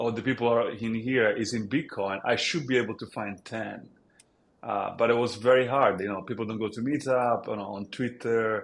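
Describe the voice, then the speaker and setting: This man speaks with an Italian accent at a fairly quick pace. His pitch is medium and his intonation fairly even. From Italy. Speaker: app founder. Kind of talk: podcast interview.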